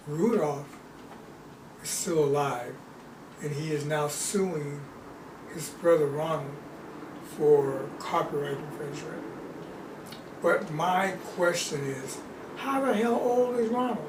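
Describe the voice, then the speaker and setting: Against noticeable background noise and audible room echo, a man speaks with lively intonation and long, frequent pauses. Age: 70s. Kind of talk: casual chat.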